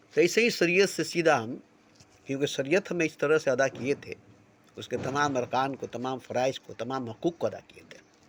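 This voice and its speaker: A man's fairly high-pitched, plain, everyday voice at a moderate pace, with ordinary pitch variation and big swings in loudness. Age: 60s. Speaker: spiritual speaker. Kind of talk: spiritual monologue. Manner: repetitive.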